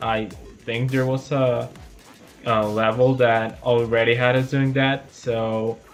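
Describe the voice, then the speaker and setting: Over music in the background, a man speaks at a very slow pace in a relaxed tone. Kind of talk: gameplay commentary. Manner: casual, relaxed.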